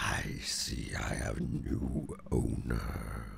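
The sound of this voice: Putting on a character voice, a man growls and rumbles at a very deep, low pitch, breathy and at a very slow pace.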